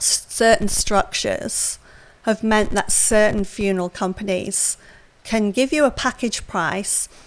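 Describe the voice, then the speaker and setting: A woman with an English accent speaks at a fairly slow pace, her fairly high voice rising and falling in an ordinary way. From England. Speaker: funeral industry expert. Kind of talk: podcast interview.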